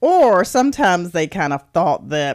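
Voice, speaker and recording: Here a woman talks at a moderate pace and fairly low pitch in an unremarkable speaking voice. The recording is very clean, with a silent background. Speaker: podcast host and author. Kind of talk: personal testimony.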